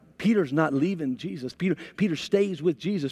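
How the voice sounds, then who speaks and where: The speaker talks at a fairly quick pace with lively intonation against a quiet background. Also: man. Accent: American. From United States. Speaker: pastor. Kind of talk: sermon. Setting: church with live audience and online stream.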